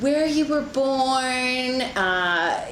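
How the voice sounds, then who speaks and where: Her high voice swings very widely in pitch as this woman talks. Noticeable background noise sits behind her. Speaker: oral history interviewer. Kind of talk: interview questions.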